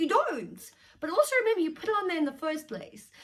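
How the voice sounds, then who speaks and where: A woman speaks at a fairly quick pace. Her tone is animated. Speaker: self-help vlogger. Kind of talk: casual talking-head advice. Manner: fast.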